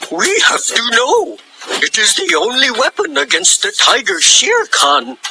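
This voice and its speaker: Fairly high pitch in a put-on character voice. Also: moderate pace. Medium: read story. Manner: giggly, rowdy.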